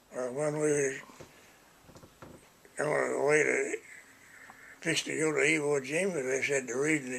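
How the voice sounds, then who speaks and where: A man's fairly high voice at a moderate pace, monotone and flat in intonation, with long, frequent pauses over noticeable background noise. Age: 80s+. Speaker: war veteran. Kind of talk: interview answer. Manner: emotional, halting.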